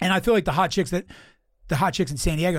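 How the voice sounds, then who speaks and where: A man with an American accent talks at a very fast pace in a somewhat breathy voice, on a very clean recording with a silent background. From Philadelphia, US East Coast. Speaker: podcast host, comedian. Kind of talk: casual chat, podcast interview. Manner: casual, rambling, profane.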